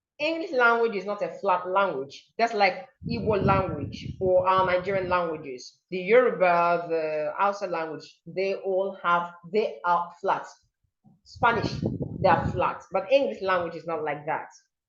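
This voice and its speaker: In a room with audible echo, a woman speaks at a fairly slow pace in a medium pitch with ordinary pitch variation. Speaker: diction and pronunciation coach. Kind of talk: online seminar lecture. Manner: animated, demonstrative pronunciation examples.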